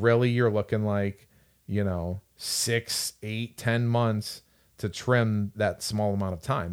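In a very clean recording with a silent background, a man talks at a moderate pace with a fairly low pitch and fairly even intonation. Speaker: strength coach and podcast host. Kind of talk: casual podcast discussion. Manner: monotone.

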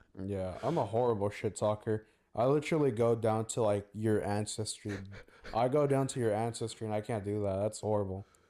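A man with an American accent talks quietly and fairly quickly. His voice is fairly low, dark and mellow, with fairly even intonation. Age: 20s. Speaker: former podcast co-host. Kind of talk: casual chat. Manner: quieter.

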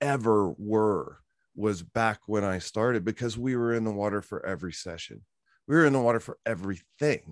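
A man with an American accent speaks in an unremarkable speaking voice at a moderate pace, with fairly low pitch and ordinary pitch variation. The sound is dry and close with no echo, over a quiet background. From Virginia. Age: 50s. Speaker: former killer whale trainer. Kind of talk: interview.

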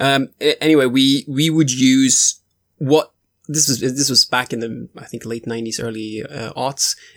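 With a Swedish accent, a man of medium pitch talks at a moderate pace with fairly even intonation in a dry, close sound with no echo. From Sweden. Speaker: tabletop role-playing podcaster. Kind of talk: casual interview.

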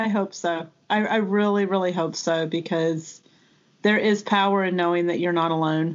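A woman's fairly low pitch, a normal speaking voice at a moderate pace, with very even loudness and fairly even intonation. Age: 30s. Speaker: nurse educator. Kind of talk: casual interview, personal birth story.

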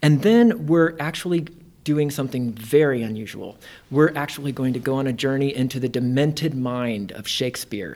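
A man with an American accent speaks at a moderate pace in an unremarkable speaking voice, fairly high in pitch with ordinary pitch variation. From Indiana. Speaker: theater artistic director. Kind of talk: casual interview. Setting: in person at guest's workplace.

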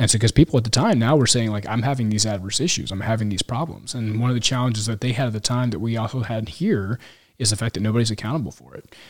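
Talking at a very fast pace, a man with an American accent has a medium pitch and a somewhat breathy voice. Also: ordinary pitch variation. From Kansas City, US Midwest. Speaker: military pilot. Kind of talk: casual chat. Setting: in person, Yuma, Arizona.

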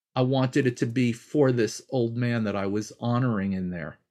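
Against a quiet background, a man with an American accent uses an ordinary speaking voice at medium pitch, with lively intonation and a moderate pace. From New York. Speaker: healer and cultural anthropologist. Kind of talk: interview storytelling.

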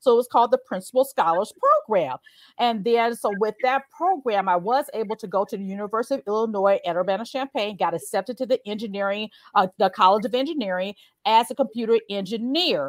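Animated and lively in intonation, a woman with a slight Southern US accent talks very fast at a fairly high pitch, her sound dry and close with no echo on a very clean recording with a silent background. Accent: slight Southern twang. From Chicago, US. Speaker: career coach. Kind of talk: interview. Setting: live stream.

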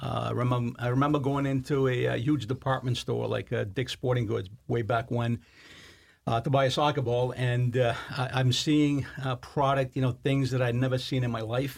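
Breathy at times, a man speaks in a monotone, flat way at a medium pitch and moderate pace, on a very clean recording with a silent background. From Italy, southeast of Naples, emigrated to US at ten. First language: Italian. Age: 60s. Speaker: college soccer coach. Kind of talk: podcast interview. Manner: halting, many fillers.

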